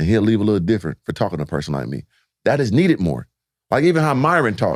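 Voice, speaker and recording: A man with an American accent, fairly low pitch and vocal fry, animated in tone, swinging very widely in pitch at a very fast pace, in a dry, close sound with no echo. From San Diego, California. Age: 40s. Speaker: entrepreneur and former basketball player. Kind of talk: podcast interview.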